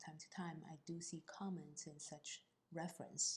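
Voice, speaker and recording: This woman's voice is somewhat breathy. Her pitch is fairly low. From China. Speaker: accountant. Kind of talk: interview. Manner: halting.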